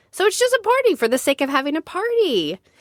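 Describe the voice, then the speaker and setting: Squeaky and extremely high-pitched, this woman's put-on character voice races along at a very fast pace with very wide pitch swings. The sound is dry and close, with no echo. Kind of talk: bedtime story. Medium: read story. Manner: chatty, conversational.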